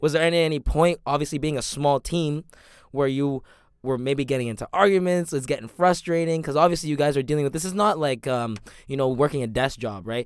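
In a plain, everyday voice, a man speaks at a fairly quick pace with fairly high pitch. His pitch variation is ordinary, and the recording is very clean with a silent background. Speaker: podcast host. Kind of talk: casual chat.

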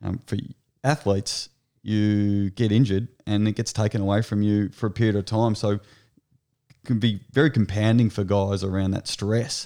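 This man has an Australian accent, a fairly low pitch and a dark, mellow tone, speaking at a moderate pace. The recording is very clean, with a silent background. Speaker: sports agent. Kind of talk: casual interview.

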